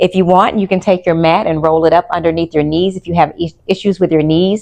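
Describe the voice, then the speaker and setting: In a normal speaking voice, a woman talks at a fairly quick pace with a fairly low pitch and fairly even intonation. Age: 50s. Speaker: pilates instructor. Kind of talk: guided exercise class. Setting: studio. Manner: calm, instructive.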